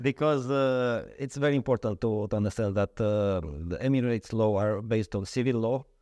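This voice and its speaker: With a Romanian accent, a man speaks at a fairly quick pace. His pitch varies in an ordinary way. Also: medium pitch for a man, dry, close sound with no echo, quiet background. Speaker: lawyer. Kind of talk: interview. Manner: halting.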